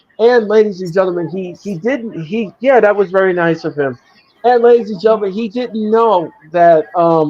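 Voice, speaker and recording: Here a man speaks with a slight New York accent. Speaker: wrestling show host. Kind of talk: casual chat; live watch-along commentary. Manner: animated.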